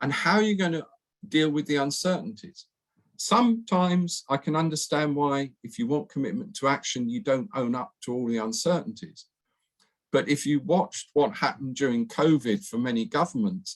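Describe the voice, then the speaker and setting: With a British accent, a man speaks at a fairly high pitch with very wide pitch swings. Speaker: professor. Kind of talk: lecture. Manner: fast.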